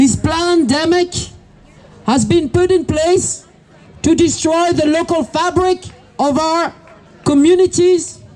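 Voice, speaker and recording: With a French accent, a woman speaks at an extremely high pitch with ordinary pitch variation. Her pace is fairly slow, with noticeable background noise. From France. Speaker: protest speaker, business owner. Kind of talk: protest speech. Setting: outdoor protest.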